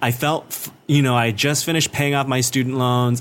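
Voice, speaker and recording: This is a normal speaking voice with fairly even intonation, delivered at a moderate pace. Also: man. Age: 30s. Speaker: comedian. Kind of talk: casual chat.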